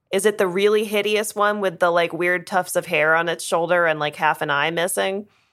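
A woman's fairly low, animated voice with a Virginia accent, at a fairly quick pace with hardly any pauses, on a very clean recording with a silent background. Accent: Virginia Southern twang. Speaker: podcast host. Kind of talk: casual chat, banter. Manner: animated, laughing.

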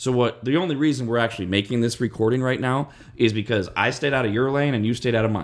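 A man with an American accent talks at a very fast pace with ordinary pitch variation. His loudness stays very even. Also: medium pitch for a man. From US West Coast. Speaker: radio podcast host. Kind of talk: casual chat.

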